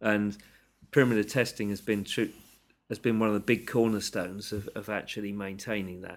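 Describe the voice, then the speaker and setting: Talking at a fairly quick pace, a man with a fairly low pitch keeps a monotone, flat intonation but swings widely in loudness, on a very clean recording with a silent background. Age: 50s. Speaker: aerospace engineer. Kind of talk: interview. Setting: office.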